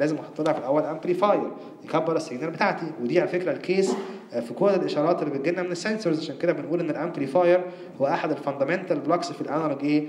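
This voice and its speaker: A man with an Egyptian accent at a very fast pace, fairly high in pitch, with ordinary pitch variation, noticeable background noise and audible room echo. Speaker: university lecturer. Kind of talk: lecture.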